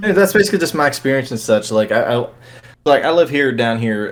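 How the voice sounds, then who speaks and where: A man talking at a very fast pace with a Georgia accent and ordinary pitch variation, on a very clean recording with a silent background. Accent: Georgia twang. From US South, Georgia. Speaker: podcast guest. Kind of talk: casual chat. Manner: halting.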